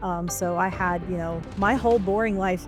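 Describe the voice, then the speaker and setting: Over music in the background, a woman with a Midwestern American accent speaks at medium pitch and a fairly slow pace, with fairly even intonation. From Ohio, USA. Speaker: editor and proofreader. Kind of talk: podcast interview answer.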